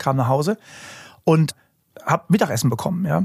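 Very fast and somewhat breathy, a man speaks with a fairly high pitch and lively intonation. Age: 40s. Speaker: hypnotist and construction industry lecturer. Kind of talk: casual chat.

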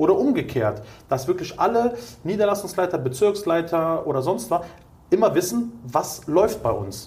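The speaker moves at a moderate pace, with very wide pitch swings. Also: man, high pitch for a man. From Germany, Cologne. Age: 30s. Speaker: entrepreneur in staffing industry. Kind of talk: interview.

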